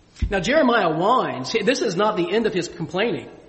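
A man speaks with lively intonation. There is audible room echo. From Springfield, US. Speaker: pastor. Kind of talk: sermon. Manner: animated.

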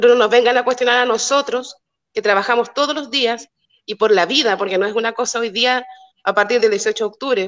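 A woman talks at a fairly quick pace. Her high pitch holds fairly even intonation. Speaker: community activist. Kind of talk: casual chat.

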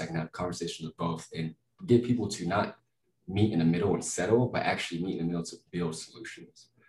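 With an American accent, a man speaks at a very fast pace in a very deep, low pitch. His voice is somewhat breathy, with ordinary pitch variation. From West Texas (Lubbock). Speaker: psychedelic research worker. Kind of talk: interview.

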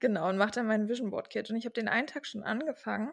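A woman's fairly high voice on a very clean recording with a silent background. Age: 20s. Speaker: podcast co-host. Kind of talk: casual chat.

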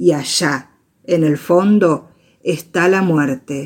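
A woman speaks at a very slow pace in a very deep, low pitch. Her pitch varies in an ordinary way. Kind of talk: poetry reading, spoken word. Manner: soft, instructive, hushed.

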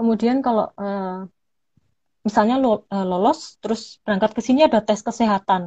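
In a dry, close recording with no echo and a quiet background, a woman with a fairly high pitch speaks in a somewhat breathy voice with ordinary pitch variation. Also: moderate pace. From Malang, East Java, Indonesia. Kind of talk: casual interview.

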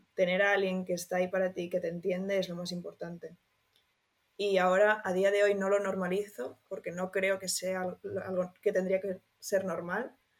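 A woman's monotone, flat delivery at medium pitch and a moderate pace. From Spain, Barcelona. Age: 20s. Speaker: law student sharing eating disorder recovery. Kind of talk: personal testimony interview.

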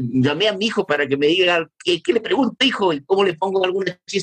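A man talks with lively intonation in a high pitch. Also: dry, close sound with no echo. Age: 50s. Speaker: school assistant and radio presenter. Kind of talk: casual interview. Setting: video call. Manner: halting, repeats words.

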